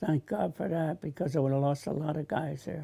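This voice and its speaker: A fairly high-pitched male voice with a dark, mellow tone, ordinary pitch variation and a moderate pace. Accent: New Jersey. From New Jersey. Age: 80s+. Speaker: war veteran. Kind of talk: testimony.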